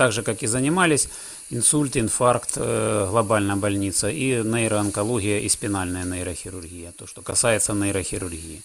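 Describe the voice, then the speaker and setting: This man speaks at a moderate pace in a fairly low pitch with ordinary pitch variation. His loudness swings a lot. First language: Russian (speaking German). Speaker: neurosurgeon. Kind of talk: interview.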